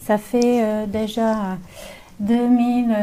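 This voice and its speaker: A woman with a slight Slavic accent has a dark, mellow tone, somewhat breathy and fairly high in pitch. Room echo is audible. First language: not French; mainly English-speaking (speaking French). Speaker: naturopath. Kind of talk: lecture. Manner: halting, many hesitations.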